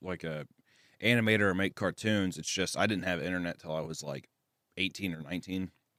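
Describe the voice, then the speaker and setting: Very deep and low in pitch, a man with an American accent speaks at a very fast pace in a bright, sharp tone with ordinary pitch variation, captured in a very clean recording with a silent background and a dry, close sound with no echo. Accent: Southern US accent, gets stronger when drunk. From US Midwest, Kearney, Missouri near Kansas City. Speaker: animator. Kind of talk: casual chat. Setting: podcast. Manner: halting, many repetitions and fillers.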